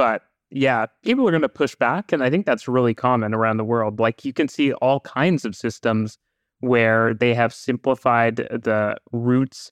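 Over a quiet background, a speaker with a Canadian accent uses an ordinary speaking voice at a moderate pace, with ordinary pitch variation and a dry, close sound with no echo. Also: man, medium pitch for a man. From Canada, Vancouver. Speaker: public transit commentator. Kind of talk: casual podcast conversation.

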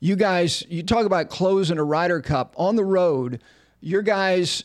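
Here is a man with an American accent. The recording is very clean, with a silent background. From New Jersey, US. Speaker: podcast host. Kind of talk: interview. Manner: enthusiastic.

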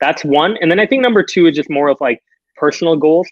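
At a very fast pace, a man with a Canadian accent speaks with ordinary pitch variation. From Canada. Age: 20s. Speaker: startup CEO. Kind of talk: casual chat. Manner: fast talker; excitable.

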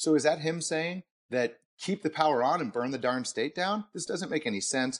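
Against a quiet background, a man with a plain, everyday voice speaks at a fairly quick pace with lively intonation. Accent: American. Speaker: podcast co-host. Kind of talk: casual policy discussion.

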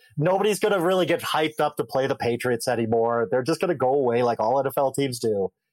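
Very fast, lively-intoned male voice at medium pitch, with an American accent. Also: dry, close sound with no echo. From Wisconsin. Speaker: NFL writer. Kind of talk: sports debate.

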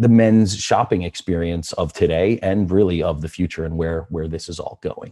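A man with an American accent speaks in a very deep, low pitch at a moderate pace, his tone dark and mellow. His intonation is fairly even on a very clean recording with a silent background. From Philadelphia, US. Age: 40s. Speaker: sneaker store owner. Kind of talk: podcast interview. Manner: casual, filler-heavy.

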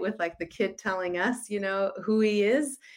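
Her pitch sits in the middle range for a woman, rising and falling in a typical way. Overall, this is a normal speaking voice. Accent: American. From Utah, US. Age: 30s. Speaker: sociologist and author. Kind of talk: interview.

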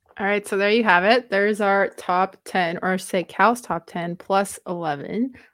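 The voice moves at a moderate pace with fairly even intonation on a very clean recording with a silent background. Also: woman, medium pitch for a woman. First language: Romanian. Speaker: basketball podcast co-host. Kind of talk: casual chat. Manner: laughs often.

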